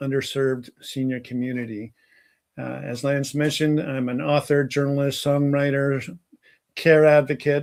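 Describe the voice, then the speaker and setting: At a fairly slow pace, a man with a fairly high pitch talks in an ordinary speaking voice with fairly even intonation. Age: 60s. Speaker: keynote speaker, caregiver advocate. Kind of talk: keynote talk.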